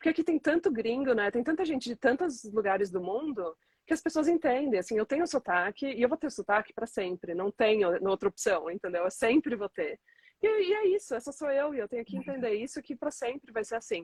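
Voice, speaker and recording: A woman with a high pitch makes very wide pitch swings. The sound is dry and close, with no echo. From Brazil. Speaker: entrepreneur. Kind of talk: interview.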